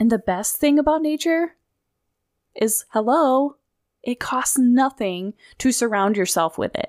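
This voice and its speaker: A woman with a high pitch and an American accent speaks at a fairly slow pace with long, frequent pauses, her dry, close sound carrying no echo on a very clean recording with a silent background. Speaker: podcast host. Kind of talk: solo podcast monologue. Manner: animated.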